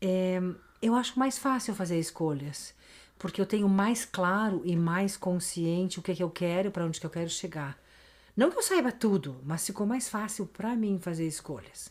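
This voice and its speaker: With a normal speaking voice at medium pitch, a woman talks at a moderate pace with ordinary pitch variation on a very clean recording with a silent background. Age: 60s. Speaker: podcast guest, host's mother. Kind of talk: casual interview chat.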